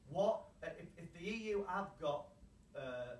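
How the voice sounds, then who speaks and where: A man with a British accent speaks amid audible room echo. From UK. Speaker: anti-fracking campaigner. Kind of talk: public hearing statement. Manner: impassioned, repetitive.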